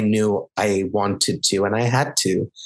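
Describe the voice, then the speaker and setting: Here is a man with an unremarkable speaking voice. His pitch is fairly low, with ordinary variation. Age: 30s. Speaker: theatre director. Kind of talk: interview.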